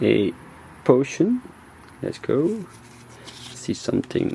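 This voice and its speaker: Someone speaks at a very slow pace with a Belgian accent, over noticeable background noise. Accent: non-native English, Belgian. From Belgium (Flanders). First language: Dutch (Flemish). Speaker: YouTuber, card collector. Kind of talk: unboxing commentary. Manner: animated.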